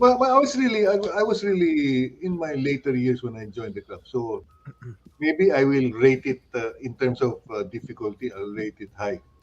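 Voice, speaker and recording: Over noticeable background noise, a man with a medium pitch talks at a moderate pace, with very wide pitch swings and big swings in loudness. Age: 60s. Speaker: photography club member. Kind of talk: casual chat. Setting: live stream talk show. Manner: halting.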